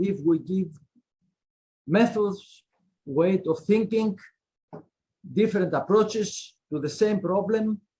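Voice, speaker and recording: Spoken very slowly in a Greek accent, the voice has a dark, mellow tone and ordinary pitch variation. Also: man. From Greece. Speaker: law professor. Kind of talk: panel discussion. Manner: halting; animated.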